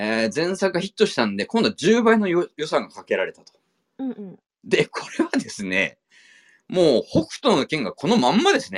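A man at a moderate pace with big swings in loudness, his dry, close sound free of echo in a very clean recording with a silent background. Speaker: podcast host, film enthusiast. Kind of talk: casual chat.

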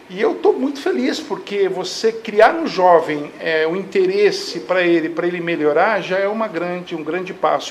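At a moderate pace, a man speaks with a high pitch over noticeable background noise. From Brazil, Barueri (São Paulo state). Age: 50s. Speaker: municipal government secretary. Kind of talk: live talk show interview.

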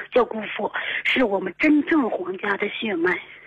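A woman's voice is heard. It rests fairly high in pitch. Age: 30s. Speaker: radio call-in listener. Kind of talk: call-in advice conversation. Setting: phone call. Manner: fast, rapid-fire; halting, many fillers.

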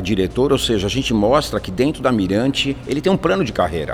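A man's lively intonation comes through amid noticeable background noise. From São Paulo, northern zone. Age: 60s. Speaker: real estate agency CEO. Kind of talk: interview.

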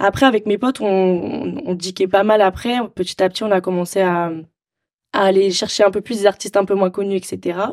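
An unremarkable speaking voice from a woman, medium in pitch, moderate in pace, with fairly even intonation. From Marseille, southern France. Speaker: DJ. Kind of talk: casual interview.

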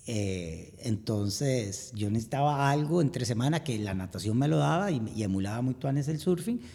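With hardly any pauses, a man of medium pitch and dark, mellow tone moves at a moderate pace through very wide pitch swings. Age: 50s. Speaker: amateur endurance athlete. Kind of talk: interview.

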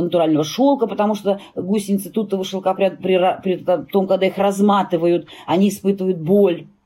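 In an ordinary speaking voice, a woman keeps a moderate pace. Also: very even loudness. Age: 50s. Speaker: fur industry expert and brand owner. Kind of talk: interview.

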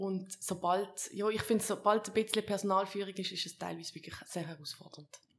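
With hardly any pauses, a woman speaks fairly quickly at a medium pitch, her intonation monotone and flat but her loudness swinging widely. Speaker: politician. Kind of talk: interview. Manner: halting.

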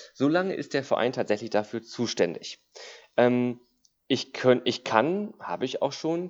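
This man has an ordinary speaking voice. His pace is moderate. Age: 30s. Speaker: dog trainer and animal welfare volunteer. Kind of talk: casual interview chat.

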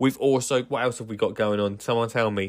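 On a very clean recording with a silent background, a man with an Essex accent speaks in an animated tone. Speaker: gardener and podcast host. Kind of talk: casual solo podcast monologue.

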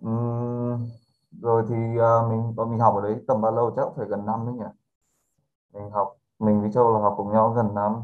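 A man's monotone, flat delivery at medium pitch and a fairly slow pace. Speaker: podcast guest. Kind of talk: casual chat.

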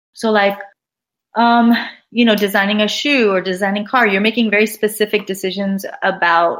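Here a woman speaks with an American accent at a medium pitch. Her pace is moderate. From Los Angeles, US. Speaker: art professor. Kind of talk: interview. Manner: animated.

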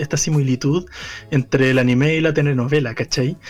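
Speaking with a Chilean accent, a man keeps a moderate pace and fairly even intonation at a fairly high pitch. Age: 20s. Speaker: podcast co-host. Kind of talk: casual chat.

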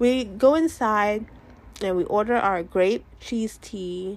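Here a woman speaks at medium pitch. Her tone is animated. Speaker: podcast host. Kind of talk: casual monologue. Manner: animated, chatty; shifts between a podcast voice and natural voice.

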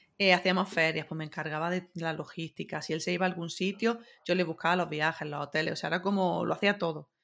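The speech runs at a very fast pace with hardly any pauses. Intonation remains fairly even. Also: woman, fairly low pitch for a woman. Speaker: podcast guest, web developer. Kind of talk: casual chat.

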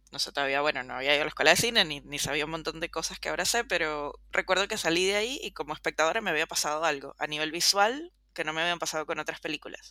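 A woman's very deep, low voice with a bright, sharp tone, ordinary pitch variation and a very fast pace with hardly any pauses. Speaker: film podcast co-host. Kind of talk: casual chat.

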